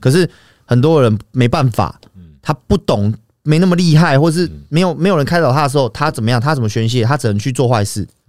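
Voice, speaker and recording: Here is a man with a fairly high pitch. He talks at a fairly quick pace. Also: lively intonation. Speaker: YouTuber. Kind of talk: casual chat. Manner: animated.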